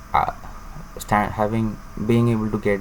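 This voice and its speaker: The speech comes at a moderate pace with noticeable background noise and audible room echo. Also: man. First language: Tamil. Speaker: student vlogger. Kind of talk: personal vlog monologue. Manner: halting, many fillers.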